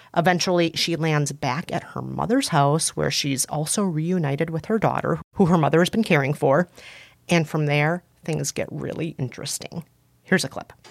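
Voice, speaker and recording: The voice shows ordinary pitch variation and some vocal fry. It moves at a moderate pace with an American accent. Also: woman, very deep, low pitch for a woman. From US Midwest (Scandinavian area). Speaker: culture critic and podcast co-host. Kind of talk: casual advice chat with film recommendations. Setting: studio.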